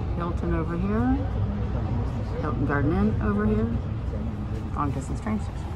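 Loud noise fills the background. The talking proceeds at a moderate pace. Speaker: travel vlogger. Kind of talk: casual tour commentary. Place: bus. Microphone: phone near.

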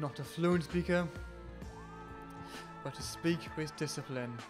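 Music plays in the background. The speaker has a Welsh accent and a fairly slow pace. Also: man. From Wales, Newport. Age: 20s. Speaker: music student. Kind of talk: personal testimony to camera.

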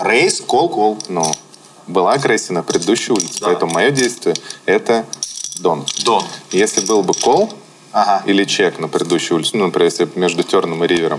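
Noticeable background noise fills the clip. The talking runs at a fairly quick pace but breaks into long, frequent pauses. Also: man, very even loudness. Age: 30s. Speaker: poker player. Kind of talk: casual chat.

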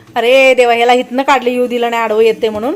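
Noticeable background noise sits behind the speech. A woman talks at a high pitch. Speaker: vlogger. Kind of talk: casual vlog narration.

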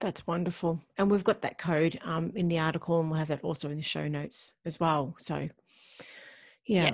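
A woman with an Australian accent, fairly low in pitch, with fairly even intonation, a moderate pace, long, frequent pauses and a quiet background. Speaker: podcast host. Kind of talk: casual interview. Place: home room. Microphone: video call.

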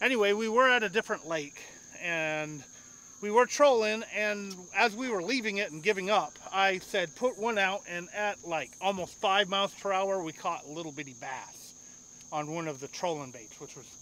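A man's raised, projected voice at a moderate pace has a bright, sharp tone and big swings in loudness, with a dry, echo-free sound over light background noise. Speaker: fishing vlogger. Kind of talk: casual vlog chat. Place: boat.

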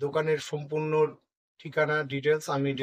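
This man has a fairly high pitch. His intonation is monotone and flat. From North Bengal, India; India. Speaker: travel vlogger; vlogger host. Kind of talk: casual chat; casual vlog chat. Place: shop. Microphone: phone near.

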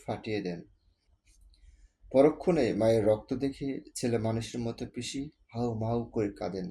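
Medium pitch for a man, dark and mellow in tone. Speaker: author reading his own story. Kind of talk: short story reading.

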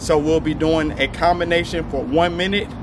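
Noticeable background noise runs behind the recording. A man speaks in monotone, flat intonation. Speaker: boxing fitness coach. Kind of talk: fitness video intro. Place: street.

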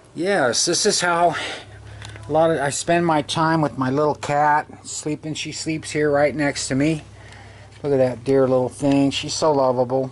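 Fairly even intonation marks this man's speech. He talks at a moderate pace with a fairly high pitch. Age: 50s. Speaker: video blogger. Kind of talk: casual monologue to camera. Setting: bedroom, lying in bed. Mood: chatty, affectionate, complaining. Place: home room. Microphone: phone near.

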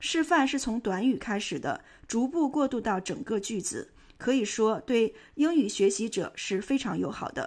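On a very clean recording with a silent background, a woman in a normal speaking voice talks at a moderate pace with a fairly high pitch and lively intonation. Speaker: English teacher. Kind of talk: English pronunciation lesson.

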